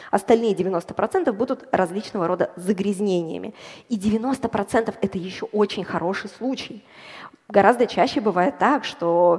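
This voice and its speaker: A woman's unremarkable speaking voice, medium in pitch, with lively intonation and a fairly slow pace. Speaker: bioinformatician and data scientist. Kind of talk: popular science talk on stage. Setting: stage with audience.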